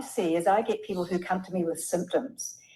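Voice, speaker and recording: Speaking with a New Zealand accent is a woman. Her pace is moderate. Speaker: health practitioner. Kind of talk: webinar panel discussion.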